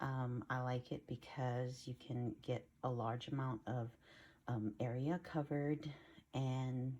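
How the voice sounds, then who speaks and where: Soft-spoken whispering at a very slow pace. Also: woman. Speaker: craft video creator. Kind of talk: tutorial. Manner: soft-spoken, near whisper.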